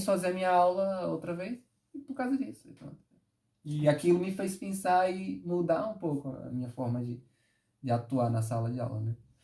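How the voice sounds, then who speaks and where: A man's high voice with a dark, mellow tone, very wide pitch swings and a moderate pace. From Northeast Brazil. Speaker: dancer and tap and forró teacher. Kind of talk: interview answer. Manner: upbeat, good-humoured.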